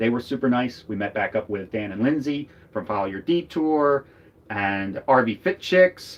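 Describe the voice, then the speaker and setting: A man speaks at a medium pitch with a slight Philadelphia accent. His pace is fairly slow and his intonation is lively. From US Northeast, Philadelphia. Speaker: RV travel vlogger. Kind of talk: casual chat. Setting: live stream from RV.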